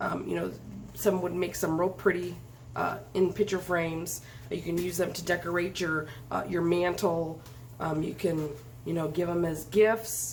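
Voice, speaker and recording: A woman's voice at a moderate pace with fairly even intonation and audible room echo. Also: fairly low pitch for a woman. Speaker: craft video host. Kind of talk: tutorial. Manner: hesitant, many fillers.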